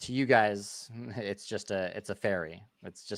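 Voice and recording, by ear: Here someone is reading aloud in a natural voice.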